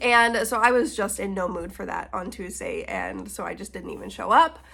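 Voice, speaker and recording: With noticeable background noise behind her, a woman speaks at a moderate pace and a fairly high pitch, with ordinary pitch variation. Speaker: book vlogger. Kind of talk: casual vlog. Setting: at home on the couch. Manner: chatty.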